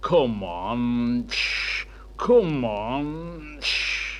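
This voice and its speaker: A man performs a put-on character voice. Noticeable background noise runs behind him. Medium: read story.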